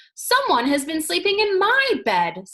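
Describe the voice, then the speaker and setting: Her put-on character voice climbs to an extremely high pitch. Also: moderate pace. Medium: read story.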